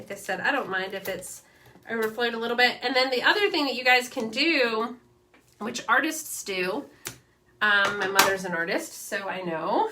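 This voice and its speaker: Over noticeable background noise, a woman with a fairly high pitch speaks at a moderate pace, her intonation lively and her loudness swinging widely. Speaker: crafting channel host. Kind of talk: craft tutorial livestream. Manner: casual, chatty.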